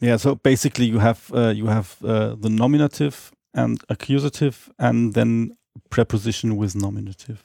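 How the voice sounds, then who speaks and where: A man's dark, mellow voice with a non-native accent, at a moderate pace with fairly even intonation, dry and close with no echo. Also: medium pitch for a man. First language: not English. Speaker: Esperanto speaker guest. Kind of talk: casual interview on language. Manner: halting with many fillers.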